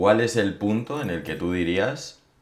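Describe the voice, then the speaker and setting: Man speaking at a fairly slow pace, with audible room echo. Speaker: podcast host. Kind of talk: casual chat.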